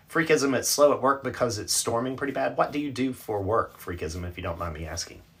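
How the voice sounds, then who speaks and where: A man with an American accent talks at a very fast pace, with vocal fry. His pitch swings very widely. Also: medium pitch for a man. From North Carolina, US South. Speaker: livestream reader and host. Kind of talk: casual livestream chat reading viewer comments. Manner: chatty, conversational.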